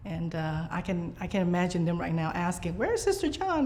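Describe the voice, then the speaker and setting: A woman's speech moves along fairly quickly. The room echoes audibly, and noticeable noise sits behind her. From Vietnam, raised in Biloxi, Mississippi. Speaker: nun and preschool teacher. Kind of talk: interview. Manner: hesitant, many fillers.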